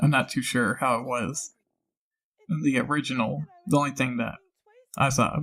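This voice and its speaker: At a moderate pace, a man talks in a bright, sharp tone with vocal fry and lively intonation. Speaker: voice actor and channel host. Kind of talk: casual commentary. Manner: casual, rambling with fillers.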